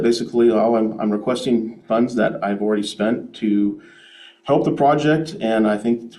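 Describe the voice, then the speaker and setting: A man's dark, mellow tone at a medium pitch, with audible room echo. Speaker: developer presenting to city council. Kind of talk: public meeting presentation. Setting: city council meeting. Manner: fast.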